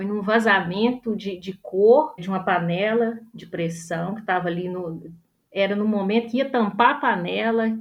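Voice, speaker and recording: A woman speaks in a normal speaking voice at a moderate pace. Her pitch is medium, with ordinary pitch variation. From northern Minas Gerais, Brazil. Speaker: artist. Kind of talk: panel discussion.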